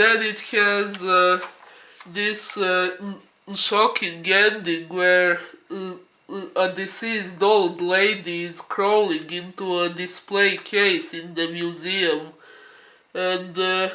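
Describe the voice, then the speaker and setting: Speaking very slowly in a raised, projected voice, a man holds a high pitch with monotone, flat intonation. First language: not English. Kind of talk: casual review talk to camera. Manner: hesitant, filler-heavy, with frequent 'uh'.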